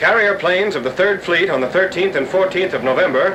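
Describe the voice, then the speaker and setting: A raised, projected man's voice, high-pitched and very fast with ordinary pitch variation, over noticeable background noise. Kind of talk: wartime newsreel narration.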